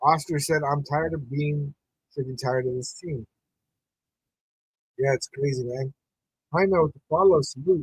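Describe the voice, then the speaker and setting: A man with a fairly high, somewhat breathy voice speaks at a moderate pace with long, frequent pauses, the sound dry and close with no echo. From New Mexico. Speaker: sports podcast host. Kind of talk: live watch-party commentary. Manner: casual, animated.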